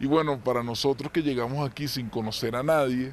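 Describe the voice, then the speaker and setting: A man speaks with a Venezuelan accent. His pitch sits in the medium range. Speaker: Venezuelan immigrant interviewee. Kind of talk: interview testimony.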